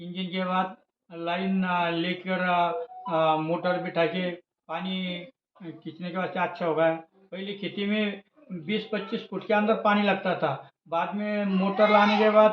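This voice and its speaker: A man's high-pitched voice in a flat monotone. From Maharashtra, Aurangabad district. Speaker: farmer. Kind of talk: interview. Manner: halting, many fillers.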